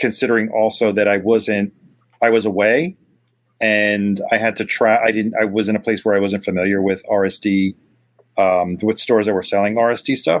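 In a monotone, flat intonation, a man speaks at fairly low pitch with very even loudness. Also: moderate pace. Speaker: vinyl collector guest.

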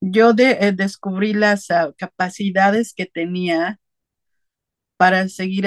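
Speaking very slowly, a woman keeps a medium pitch and fairly even intonation in a dry, close sound with no echo. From Puebla, Mexico. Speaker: migrant mother. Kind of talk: interview testimony.

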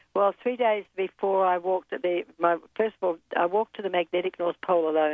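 With a New Zealand accent, a woman speaks fairly quickly at a fairly low pitch, keeping her intonation fairly even. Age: 70s. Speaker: polar explorer and mountaineer. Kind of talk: interview.

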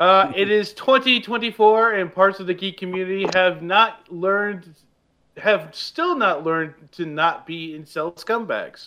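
Fairly slowly, a man speaks in a raised, projected voice with a high pitch and ordinary pitch variation. His loudness swings widely. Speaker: podcast host. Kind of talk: casual chat with news segments.

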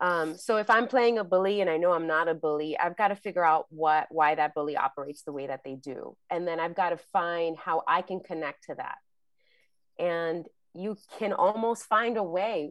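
Against a quiet background, a woman with an American accent uses an ordinary speaking voice, fairly low in pitch, at a moderate pace with ordinary pitch variation. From New York, the Bronx. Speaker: actress and acting coach. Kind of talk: casual chat.

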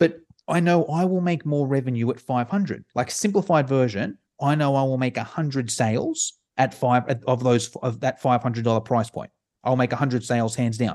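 A man speaks with an Australian accent at a medium pitch. His pace is fairly quick and the background is quiet. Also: ordinary pitch variation. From Sydney, Australia. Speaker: online course creator. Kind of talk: casual interview. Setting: video call.

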